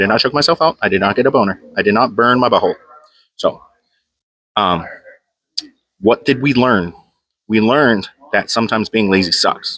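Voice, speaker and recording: A man talks at a fairly quick pace in a bright, sharp tone, with ordinary pitch variation and very even loudness. He leaves long, frequent pauses, and the sound is dry and close with no echo. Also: medium pitch for a man. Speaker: powerlifter vlogger. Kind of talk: casual gym vlog talk. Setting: gym. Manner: fast; animated.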